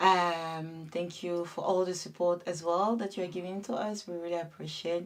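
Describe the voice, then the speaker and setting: At a moderate pace, a woman with a French accent speaks in a fairly low pitch with fairly even intonation. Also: hardly any pauses. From France (Paris), born in Ivory Coast. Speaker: web TV co-host. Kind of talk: casual chat.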